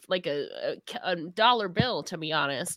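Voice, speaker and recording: A woman speaks in a bright, sharp tone. Her pitch swings very widely, and the recording is very clean with a silent background. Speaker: wrestling journalist and podcaster. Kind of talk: casual chat.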